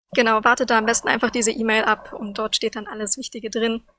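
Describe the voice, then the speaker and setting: A woman's fairly high, monotone, flat voice at a fairly quick pace, dry and close with no echo. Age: 20s. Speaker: student representative. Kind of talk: casual news chat.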